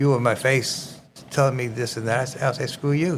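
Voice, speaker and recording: With a strong New York accent, a man speaks at a moderate pace. His intonation is fairly even. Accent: thick New York. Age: 80s+. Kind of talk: podcast conversation.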